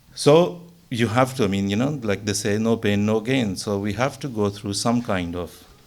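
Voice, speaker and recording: A man with a Pakistani accent speaks at a fairly slow pace in a fairly low voice. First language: Urdu. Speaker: religious speaker. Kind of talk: religious talk. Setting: mosque gathering.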